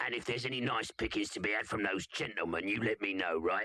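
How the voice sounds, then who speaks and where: A put-on character voice from a man, raspy and fairly low, at a very fast pace with ordinary pitch variation. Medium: cartoon. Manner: bossy, curt.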